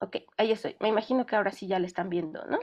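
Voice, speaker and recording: A woman's fairly high voice at a fairly quick pace, with ordinary pitch variation. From Mexico. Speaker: film sound specialist. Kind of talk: online lecture. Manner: fast when excited; hesitant, many fillers.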